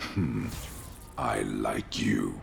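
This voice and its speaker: Over clear background noise, a man uses a put-on character voice with an amused tone. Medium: video game. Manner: gruff, amused.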